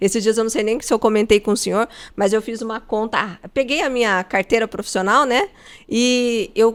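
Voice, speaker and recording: A woman with an ordinary speaking voice, fairly high in pitch, at a moderate pace. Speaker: podcast host; coach. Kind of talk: interview.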